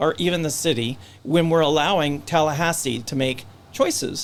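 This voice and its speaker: The man's voice sits fairly high in pitch. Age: 60s. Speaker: local political candidate. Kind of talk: candidate interview. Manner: halting, with false starts.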